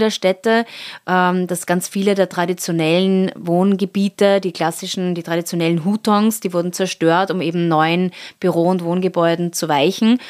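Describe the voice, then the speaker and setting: This very clean recording has a silent background and a dry, close sound with no echo. The speaker has a normal speaking voice, fairly even intonation, and a moderate pace. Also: woman. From Austria, Salzburg. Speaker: art curator. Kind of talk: interview.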